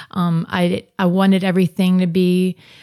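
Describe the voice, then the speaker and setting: In an American accent, a woman talks at a moderate pace with a dark, mellow tone, the sound dry and close with no echo. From US South, New Orleans. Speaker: guest sharing personal faith story. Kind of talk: testimony. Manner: halting, with fillers.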